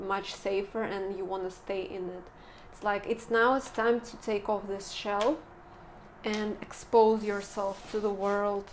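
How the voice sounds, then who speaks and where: A soft-spoken woman talks at a very slow pace. Her intonation is monotone and flat. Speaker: tarot reader. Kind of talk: tarot reading. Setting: indoors filming by a window.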